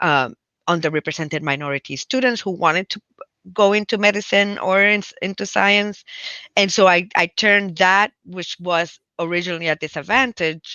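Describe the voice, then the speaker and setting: A woman speaks with a Spanish accent. Her pitch varies in an ordinary way. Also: medium pitch for a woman, moderate pace. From Puerto Rico, countryside. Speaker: physician and public health professor. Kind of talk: interview conversation. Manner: halting, many fillers and restarts.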